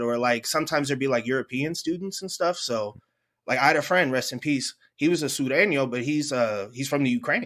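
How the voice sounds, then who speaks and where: A bright, sharp tone with an American accent comes through a very clean recording and silent background. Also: man. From San Francisco, US. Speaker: podcast host. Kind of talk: casual chat.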